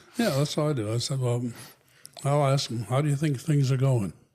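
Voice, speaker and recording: A dark, mellow, somewhat breathy man's voice at medium pitch, with fairly even intonation and a moderate pace. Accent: American. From Connecticut. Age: 80s+. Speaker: retired HR executive and veteran. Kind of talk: interview.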